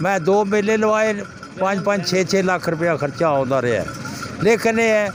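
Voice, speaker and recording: There is noticeable background noise behind the speaker. A man talks at a high pitch with ordinary pitch variation. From Pakistan, Punjab. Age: 70s. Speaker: retired doctor and tent-pegging club owner. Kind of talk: interview.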